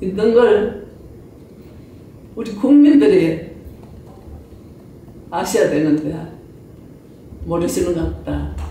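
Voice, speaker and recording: Background noise is noticeable. A woman speaks at a very slow pace. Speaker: former comfort woman survivor, activist. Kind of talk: testimony at a parliamentary meeting.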